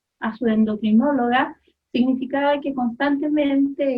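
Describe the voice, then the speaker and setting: This woman talks with a Chilean accent. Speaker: mother giving testimony. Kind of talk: testimony.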